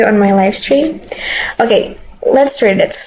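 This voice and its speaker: A woman speaks with a non-native accent and ordinary pitch variation over noticeable background noise. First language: not English. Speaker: streamer. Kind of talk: gameplay commentary. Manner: halting.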